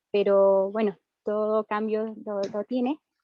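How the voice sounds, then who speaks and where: A woman is speaking. Her pitch is fairly high. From central Chile, Valparaíso region countryside. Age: 30s. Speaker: rural community member, wetland defender. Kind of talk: panel presentation.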